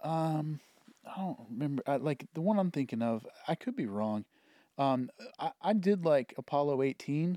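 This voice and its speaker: On a very clean recording with a silent background, a man with a dark, mellow tone talks with lively intonation and long, frequent pauses. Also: moderate pace. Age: 40s. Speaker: teacher, friend of host. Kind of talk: casual chat. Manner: halting, repeats words.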